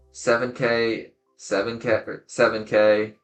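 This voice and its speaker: Music plays behind the speaker. He is a man with a medium-pitched voice. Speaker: card game YouTuber. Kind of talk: video outro; gameplay commentary. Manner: casual.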